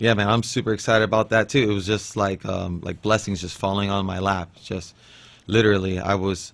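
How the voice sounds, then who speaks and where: Fairly even in intonation, a man speaks at a fairly quick pace. His voice has a fairly low pitch. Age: 30s. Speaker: professional MMA fighter. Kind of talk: interview. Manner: casual, halting.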